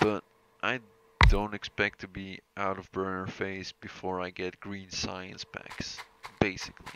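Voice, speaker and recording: Pitched very deep and low, a man with a non-native accent speaks at a fairly slow pace in a monotone, flat way, his loudness swinging widely. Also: dry, close sound with no echo. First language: not English. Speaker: gaming video creator. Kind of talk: gameplay commentary. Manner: halting.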